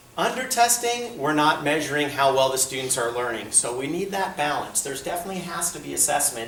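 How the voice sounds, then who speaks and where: Against noticeable background noise and audible room echo, a man talks at a fairly quick pace. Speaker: school administrator. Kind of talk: presentation to parents.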